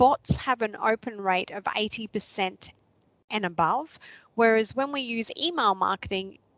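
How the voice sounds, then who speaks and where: At a moderate pace, a woman talks with an Australian accent, her dry, close sound free of echo over a quiet background. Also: fairly high pitch for a woman, ordinary pitch variation. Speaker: social media trainer. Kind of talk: online workshop presentation.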